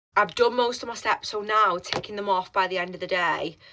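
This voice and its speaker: A woman with an English accent, bright and sharp in tone, at a fairly quick pace with ordinary pitch variation. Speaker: fitness coach. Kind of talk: vlog. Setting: gym toilet. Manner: quiet; casual.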